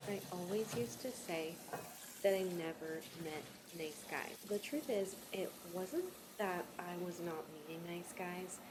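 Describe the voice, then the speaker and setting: A woman's plain, everyday voice, fairly low in pitch with ordinary pitch variation, at a fairly slow pace. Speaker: storyteller and channel host. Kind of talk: casual personal storytime talk to camera.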